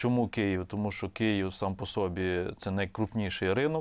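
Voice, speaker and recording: Heard on a very clean recording with a silent background, a plain, everyday voice speaks at a fairly slow pace with ordinary pitch variation. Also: man. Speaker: economist. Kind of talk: TV interview. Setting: studio.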